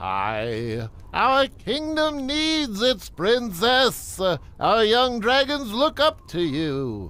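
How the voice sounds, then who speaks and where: In a cartoonish character voice, a man speaks at a very slow pace with an extremely high pitch. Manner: warm, paternal.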